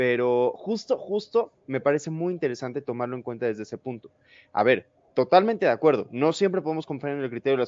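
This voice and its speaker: The speaker is a man with lively intonation. He rattles along at a very fast pace. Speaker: show host and moderator. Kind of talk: panel debate. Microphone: choppy internet connection.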